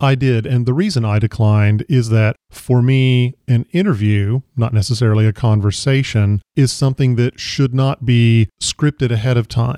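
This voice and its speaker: Delivered with very even loudness and hardly any pauses, a man's medium pitch and dark, mellow tone come through a dry, close sound with no echo, with ordinary pitch variation. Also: moderate pace. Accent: American. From US South. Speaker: journalist. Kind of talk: casual chat. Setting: studio.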